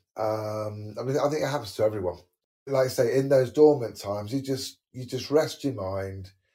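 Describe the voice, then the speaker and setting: A man speaks at a fairly quick pace with a medium pitch and a somewhat breathy quality. The recording is very clean, with a silent background. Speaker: podcast host. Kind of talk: casual interview.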